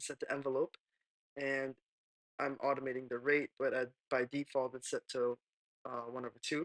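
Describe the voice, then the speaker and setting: A quiet man talks at a moderate pace with a fairly high pitch, recorded with a dry, close sound and no echo. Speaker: music producer. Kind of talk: software tutorial narration. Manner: casual, hesitant.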